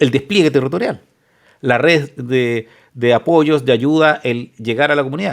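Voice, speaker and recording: A man is speaking. He has a Chilean accent. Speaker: lawyer and reaction video host. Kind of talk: reaction commentary reading news aloud. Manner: fast; casual, conversational.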